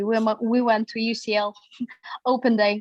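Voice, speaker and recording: A woman speaks in a fairly high pitch with a Russian accent. Her intonation is monotone and flat. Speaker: psychology graduate. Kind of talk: interview.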